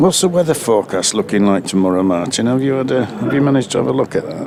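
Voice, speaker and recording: Amid noticeable background noise, a man talks at a very fast pace and medium pitch, his pitch swinging very widely. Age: 60s. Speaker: cricket co-commentator. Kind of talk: live commentary. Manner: halting.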